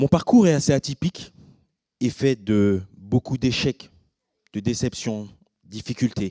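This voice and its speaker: Speaking at a very slow pace with long, frequent pauses, a man has a medium-pitched voice, dark and mellow in tone, with ordinary pitch variation. The sound is dry and close, with no echo. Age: 30s. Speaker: cook, educator and professional boxer. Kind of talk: conference talk. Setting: stage with audience.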